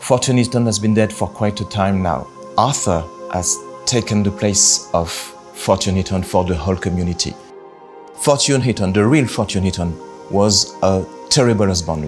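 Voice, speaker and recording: Music in the background behind a man with a fairly low pitch, speaking at a moderate pace. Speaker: game narrative director. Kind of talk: interview answer.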